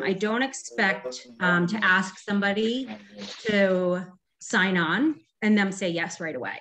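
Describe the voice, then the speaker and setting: A woman talks at a very slow pace with a medium pitch. Her tone is bright and sharp, with ordinary pitch variation. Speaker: direct sales consultant. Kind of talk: training talk. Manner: shaky.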